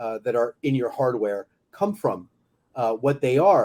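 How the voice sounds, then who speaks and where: The speaker is a man. His tone is dark and mellow. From France. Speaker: business executive. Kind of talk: interview.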